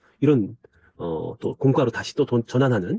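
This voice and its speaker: A man with a medium pitch and a dark, mellow tone speaks fairly quickly and somewhat breathily, his pitch swinging very widely in a dry, close recording with no echo. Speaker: church discipleship trainer. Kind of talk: recorded training lecture. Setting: self-recorded video.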